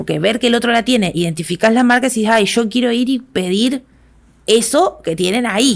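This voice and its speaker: A woman with a plain, everyday voice speaks at a fairly quick pace, her fairly high pitch showing ordinary variation. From Argentina, Santa Fe. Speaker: activist and educator. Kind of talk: interview conversation.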